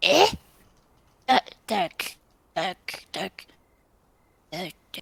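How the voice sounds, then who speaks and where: This female-sounding voice does a put-on character voice at a medium pitch for a woman. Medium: actual play. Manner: snappish, shouting, defensive.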